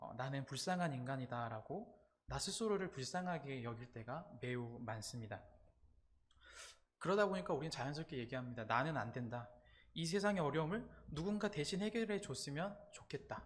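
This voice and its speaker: Speaking at a moderate pace, a man with a fairly high, somewhat breathy voice swings his pitch very widely. Room echo can be heard. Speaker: campus ministry preacher. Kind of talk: sermon. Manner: halting, frequent 'uh' fillers.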